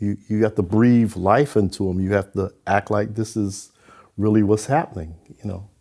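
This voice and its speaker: At a moderate pace and with fairly even intonation, this dark, mellow voice carries an American accent on a very clean recording with a silent background. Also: man. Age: 80s+. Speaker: retired transit superintendent. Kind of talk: interview.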